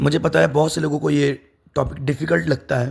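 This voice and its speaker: A man talks in a fairly high voice marked by vocal fry. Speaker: teacher. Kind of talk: lecture.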